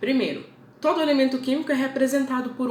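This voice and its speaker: A woman with a Brazilian accent speaks at a fairly high pitch. Noticeable background noise and audible room echo surround her voice. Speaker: teacher. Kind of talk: lecture.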